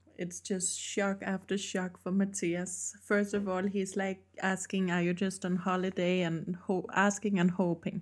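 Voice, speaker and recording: A woman with a Danish accent speaks at a fairly slow pace in a monotone, flat intonation, with hardly any pauses. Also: medium pitch for a woman, very clean recording, silent background. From Denmark. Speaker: podcast co-host. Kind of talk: casual chat.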